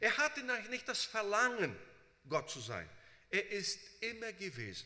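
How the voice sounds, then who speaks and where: Using a raised, projected voice with a bright, sharp tone, a man speaks at a very slow pace. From Brazil. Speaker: preacher and Bible seminary teacher. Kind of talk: sermon. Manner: frequent fillers, halting.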